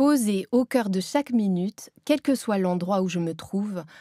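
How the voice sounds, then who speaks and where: On a very clean recording with a silent background, a woman's medium-pitched voice comes through dark and mellow, with a dry, close sound and no echo. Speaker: author and Zen Buddhist nun, former voice teacher. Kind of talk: audiobook reading of her own book. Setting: professional recording studio.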